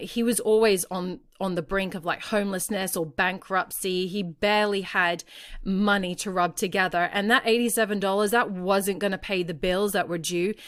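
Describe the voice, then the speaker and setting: In an Australian accent, the speaker talks at a moderate pace with fairly even intonation, recorded very cleanly against a silent background. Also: woman. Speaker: parenting podcast host. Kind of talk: podcast monologue, storytelling. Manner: conversational.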